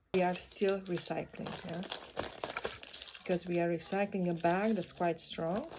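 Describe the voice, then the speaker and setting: There is noticeable background noise behind this woman. She talks at a moderate pace. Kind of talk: casual talk to camera while packing orders. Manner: relaxed, low-energy, rambling.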